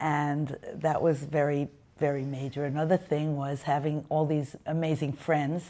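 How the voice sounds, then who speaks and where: A woman with a very deep, low pitch speaks fairly slowly in a flat monotone, in a very clean recording with a silent background. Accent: New York. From US Northeast, Brooklyn, New York. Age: 70s. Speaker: interviewee sharing life story. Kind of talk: testimony.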